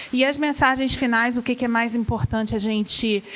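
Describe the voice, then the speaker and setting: A woman with a Rio de Janeiro accent at a fairly high pitch, with ordinary pitch variation, a moderate pace and noticeable background noise. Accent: carioca (Rio de Janeiro). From Rio de Janeiro, Brazil. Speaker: gastroenterology professor and physician. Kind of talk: medical lecture to patients.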